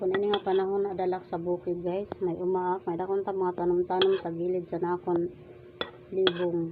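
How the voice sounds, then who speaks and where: A woman speaks at a moderate pace and medium pitch, in a relaxed tone with monotone, flat intonation. Noticeable background noise sits behind her. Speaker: vlogger. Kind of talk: casual mukbang vlog with voice-over. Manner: relaxed, chatty.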